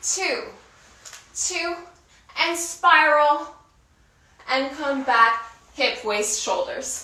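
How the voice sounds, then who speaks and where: In a raised, projected voice, a woman speaks at a very slow pace with long, frequent pauses, a high pitch and very wide pitch swings, while room echo and noticeable background noise come through. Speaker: dancer and workout instructor. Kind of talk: guided workout instruction. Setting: online video class. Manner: counts rhythmically.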